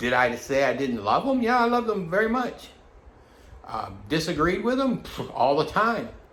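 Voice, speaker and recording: Very wide pitch swings from a man at a moderate pace, with audible room echo. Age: 60s. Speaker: vlogger. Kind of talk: personal monologue vlog. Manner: halting, many fillers and restarts; agitated.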